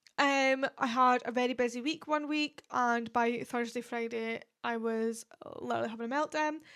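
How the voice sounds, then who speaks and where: A woman with a Scottish accent and a high pitch. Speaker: podcast host. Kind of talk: casual monologue. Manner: hesitant, stumbling on words.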